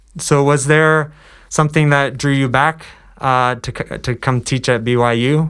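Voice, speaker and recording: In a very clean recording with a silent background, a man with an ordinary speaking voice talks at a moderate pace with fairly even intonation. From US East Coast. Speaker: student podcast host. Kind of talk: scripted introduction; interview. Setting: podcast.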